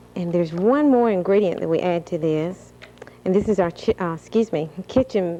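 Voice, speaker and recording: With a Southern US accent, a woman talks at a fairly low pitch with ordinary pitch variation. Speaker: recipe contest judge, gas company representative. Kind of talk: cooking demonstration on TV.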